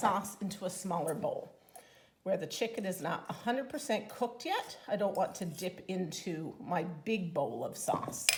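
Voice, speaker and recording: A woman speaks at a moderate pace in an enthusiastic tone, with very wide pitch swings. Noticeable background noise runs underneath. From Newfoundland, Canada. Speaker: home cooking demonstrator and product consultant; home cooking demonstrator. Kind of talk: cooking tutorial. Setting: home kitchen. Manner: chatty, enthusiastic. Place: kitchen.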